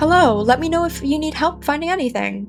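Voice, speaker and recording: A female-sounding put-on character voice, high in pitch, runs at a fairly quick pace over clear music in the background. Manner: chill, relaxed.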